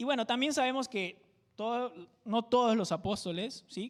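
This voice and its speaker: The speaker has a Peruvian Amazon accent and keeps a fairly slow pace. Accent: Peruvian jungle (selva) accent, sing-song. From Peru, Amazon jungle region (Tingo María). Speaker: pastor. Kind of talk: sermon.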